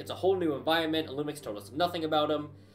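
A man speaks at a fairly quick pace, with faint music playing in the background. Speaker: gaming streamer. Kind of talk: casual gameplay commentary. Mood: mildly frustrated, animated. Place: home room. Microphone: earbuds.

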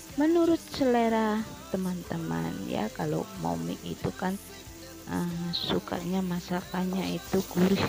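Over clear music in the background, a woman speaks at a fairly slow pace in a dry sound with no echo. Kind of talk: cooking tutorial. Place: kitchen. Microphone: phone near.

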